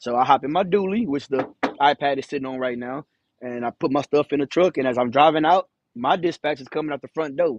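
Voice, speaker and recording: A man with an American accent talks at a very fast pace with ordinary pitch variation and big swings in loudness. The sound is dry and close, with no echo. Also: fairly high pitch for a man. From Houston, Texas. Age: 30s. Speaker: truck driver. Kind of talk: casual livestream rant. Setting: outdoors by his truck, livestream. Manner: loud and firm.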